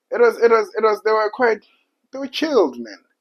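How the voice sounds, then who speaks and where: The speaker is a man. He has a South African accent. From South Africa, Soweto. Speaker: podcast guest. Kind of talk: casual chat. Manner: halting.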